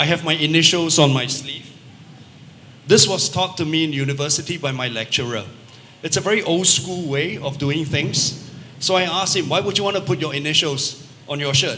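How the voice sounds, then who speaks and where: Speaking at a fairly quick pace with a Singaporean accent, a man uses a fairly high pitch amid audible room echo and noticeable background noise. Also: ordinary pitch variation. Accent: Singaporean English accent, unashamed. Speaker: travel technology company representative. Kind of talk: panel discussion.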